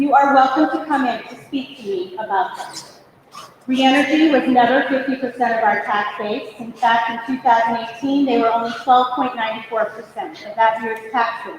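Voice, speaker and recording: A high-pitched woman speaks at a moderate pace with ordinary pitch variation and big swings in loudness. Noticeable background noise and audible room echo surround her. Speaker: town manager. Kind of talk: formal report to council. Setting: council meeting with audience. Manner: formal.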